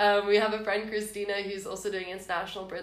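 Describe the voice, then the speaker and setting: A woman talking at a very fast pace in a monotone, flat delivery, with audible room echo and noticeable background noise. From South Africa, Cape Town. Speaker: university student. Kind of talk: casual chat.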